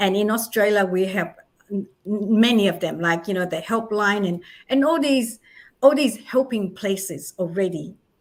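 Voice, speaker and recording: With a non-native accent, a woman speaks at a fairly high pitch with lively intonation in a very clean recording over a silent background. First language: not English. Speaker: charity founder and author. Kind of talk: interview. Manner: animated.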